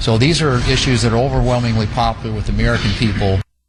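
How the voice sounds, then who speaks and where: The speaker talks very fast with fairly even intonation. Background noise is noticeable. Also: man. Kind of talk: formal political speech. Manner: flat, passionless monotone.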